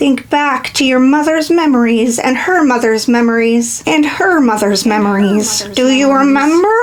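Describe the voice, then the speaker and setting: Someone uses a put-on character voice at a moderate pace. Background noise is clearly heard. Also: woman, high pitch for a woman. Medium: read story. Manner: solemn, cryptic.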